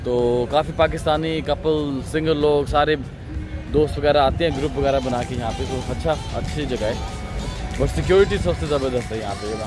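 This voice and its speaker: A man speaks in a fairly high voice with ordinary pitch variation. The sound is dry with no echo, and music plays clearly in the background. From Pakistan. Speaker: travel vlogger. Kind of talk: casual travel vlog talk to camera. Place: beach. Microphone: phone near.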